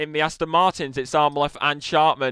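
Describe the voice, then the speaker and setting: A man speaks loudly in a fairly high-pitched voice with a bright, sharp tone and a monotone, flat intonation. The sound is dry and close with no echo, on a very clean recording with a silent background. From northwest England. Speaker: esports racing commentator. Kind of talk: live commentary. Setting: live stream.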